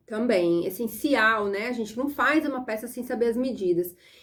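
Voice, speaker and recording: With a Brazilian accent, a woman speaks in an animated tone, her high pitch carried by lively intonation. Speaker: sewing and pattern-making teacher. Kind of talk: online lesson. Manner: fast.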